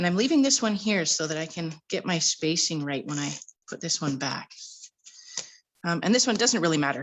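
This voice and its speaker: Her voice fairly low in pitch, a woman speaks at a moderate pace with lively intonation and long, frequent pauses. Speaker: card-making crafter. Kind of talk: live-stream tutorial. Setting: live stream from home. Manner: casual.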